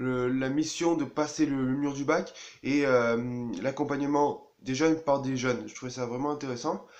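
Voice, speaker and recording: With a fairly high pitch and a monotone, flat intonation, a man speaks fairly slowly. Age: 20s. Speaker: engineering student. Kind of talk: personal testimony. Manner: halting, many hesitations.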